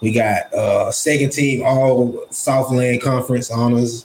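With noticeable background noise, a man speaks in an American accent. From Ruston, Louisiana. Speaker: podcast host, barber. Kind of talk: casual interview chat. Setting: barbershop.

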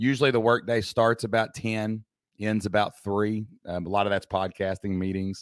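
In an Appalachian accent, a man talks at a moderate pace with a fairly low pitch and fairly even intonation. The recording is very clean with a silent background and a dry, close sound with no echo. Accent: Appalachian Southern US. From Southeast Kentucky. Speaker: entrepreneur and former teacher. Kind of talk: casual interview chat.

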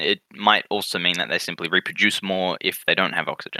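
A man with an Australian accent talks at a fairly quick pace in a bright, sharp tone. The sound is dry and close, with no echo. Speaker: podcast co-host. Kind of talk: casual chat.

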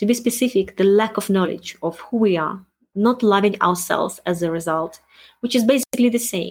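With a non-native accent, a woman of medium pitch talks at a moderate pace with ordinary pitch variation. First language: not English. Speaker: self-help podcast host, wellness coach. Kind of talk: solo monologue podcast.

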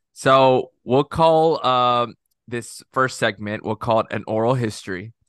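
A man with an American accent and an unremarkable speaking voice, medium in pitch, fairly slow, with ordinary pitch variation, a dry, close sound with no echo, and a quiet background. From South Texas (Corpus Christi). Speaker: dental student, former teacher. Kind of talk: casual chat.

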